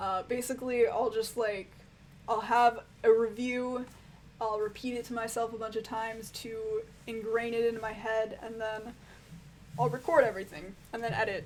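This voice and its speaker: Speaking at a moderate pace, a woman uses a fairly high pitch and fairly even intonation. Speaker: music reviewer YouTuber. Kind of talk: live stream Q&A, casual chat. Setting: live stream. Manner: casual, lots of fillers.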